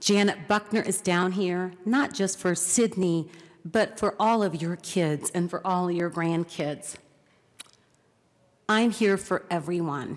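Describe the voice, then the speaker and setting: At a very slow pace, a woman of medium pitch talks with ordinary pitch variation. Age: 70s. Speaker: state legislator. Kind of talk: floor speech. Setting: legislative chamber.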